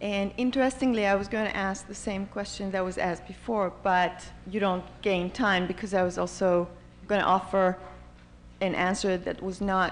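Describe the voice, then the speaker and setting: Audible room echo surrounds a voice moving at a moderate pace with fairly even intonation. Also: woman, medium pitch for a woman. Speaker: audience member asking a question, neuroscientist. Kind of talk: audience question at a panel. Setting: conference hall with audience. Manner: halting, many repetitions.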